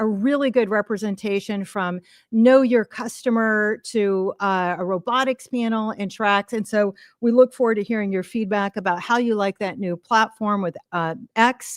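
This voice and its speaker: On a very clean recording with a silent background and a dry, close sound with no echo, a woman with a plain, everyday voice speaks at a moderate pace and a fairly high pitch with fairly even intonation. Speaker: event organizer and emcee. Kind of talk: opening remarks to a live audience. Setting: stage with audience.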